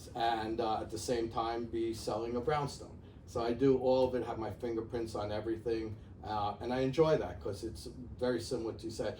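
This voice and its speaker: Speaking with a Bronx accent, a man has a dark, mellow, somewhat breathy tone at a medium pitch. His intonation is fairly even, his pace fairly quick, and the room echo is audible. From New York, the Bronx. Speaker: real estate executive. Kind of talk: interview. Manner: halting, many fillers.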